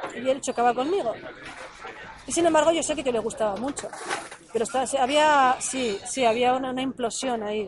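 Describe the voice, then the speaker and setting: A high-pitched woman talks fairly quickly with ordinary pitch variation, leaving long, frequent pauses. Noticeable background noise runs underneath. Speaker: life coach. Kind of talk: casual chat. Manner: stuttering.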